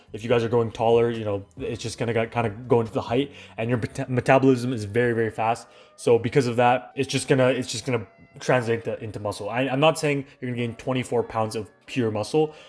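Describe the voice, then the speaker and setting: Over music in the background, a man in a Canadian accent speaks at a very fast pace. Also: medium pitch for a man, fairly even intonation. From Canada. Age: young. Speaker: fitness YouTuber. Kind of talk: casual talk to camera.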